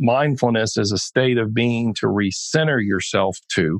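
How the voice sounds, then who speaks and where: In a plain, everyday voice, a man speaks at a medium pitch with a dry, close sound and no echo. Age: 50s. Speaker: ADHD coach. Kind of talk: interview conversation.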